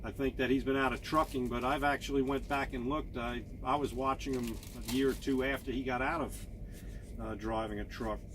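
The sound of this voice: A man talks at a fairly quick pace. His medium-pitched voice keeps a fairly even intonation.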